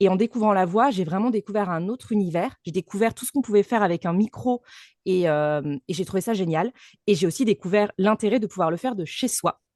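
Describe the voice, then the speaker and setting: Talking at a fairly quick pace, a woman has an unremarkable speaking voice, medium in pitch with ordinary pitch variation. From France, Lyon region. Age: 30s. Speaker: voice actress and speaking coach. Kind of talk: podcast interview.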